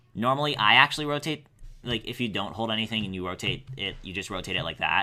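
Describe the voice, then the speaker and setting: Talking very fast, a man uses a medium pitch with ordinary variation. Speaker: animator. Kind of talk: tutorial. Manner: halting, stuttering.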